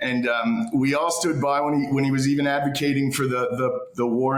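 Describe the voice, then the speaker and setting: At a moderate pace, a speaker with a Canadian accent talks amid audible room echo and noticeable background noise. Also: man. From Canada. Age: 40s. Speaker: political commentator. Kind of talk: casual interview chat. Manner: halting, many repeated words.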